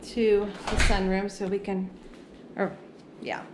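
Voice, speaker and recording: A woman talks while noticeable background noise carries on. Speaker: homeowner vlogger. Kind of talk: casual vlog chat. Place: garden. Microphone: phone near.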